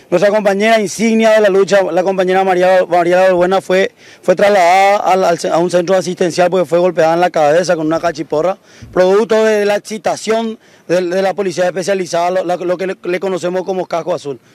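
Recorded with a dry, close sound and no echo, a man with a high voice talks at a fairly quick pace with fairly even intonation. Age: 20s. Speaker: lawyer and protest spokesman. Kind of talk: street interview.

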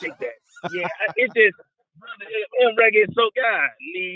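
A man's high-pitched, animated voice with lively intonation

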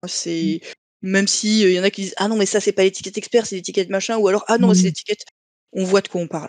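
Very fast and monotone with flat intonation, the speech has a dry sound with no echo against a quiet background. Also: woman. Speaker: board game jury member. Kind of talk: casual group discussion about board games. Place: home room. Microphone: video call.

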